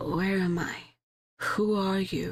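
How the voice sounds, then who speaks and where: A female-sounding voice whispers in a creaky, raspy, put-on character voice. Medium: game stream. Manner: stubborn, defensive.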